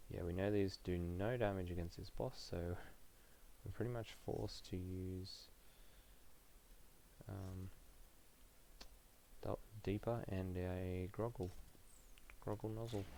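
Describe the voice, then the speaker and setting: A man speaks quietly in a very deep, low, dark and mellow voice with fairly even intonation. His pace is fairly slow, with long, frequent pauses. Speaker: gaming streamer. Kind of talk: live gameplay stream chat. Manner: quiet, keeping voice down; hesitant with many fillers.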